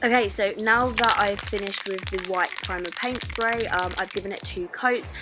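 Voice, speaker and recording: Music runs in the background. Over it, a woman talks at a moderate pace. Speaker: lifestyle blogger. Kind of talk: DIY tutorial voice-over. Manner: casual, hesitant with fillers.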